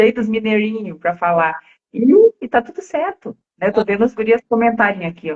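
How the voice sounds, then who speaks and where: A woman with a strong Rio Grande do Sul accent, somewhat breathy and animated in tone, with ordinary pitch variation and a moderate pace. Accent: strong gaúcho (Rio Grande do Sul). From Rio Grande do Sul, Brazil. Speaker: co-host of English conversation project. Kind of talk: casual chat on live stream.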